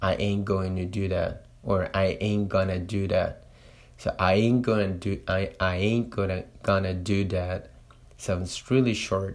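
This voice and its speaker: A man with a Spanish accent and fairly even intonation. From Latin America. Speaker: Spanish teacher and podcaster. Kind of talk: solo monologue podcast. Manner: slow; halting, many fillers.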